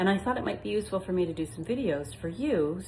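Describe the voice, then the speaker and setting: A woman's voice moves through very wide pitch swings, with audible room echo. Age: 60s. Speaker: retirement home manager turned vlogger. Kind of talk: casual informative vlog talk. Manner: conversational with frequent fillers.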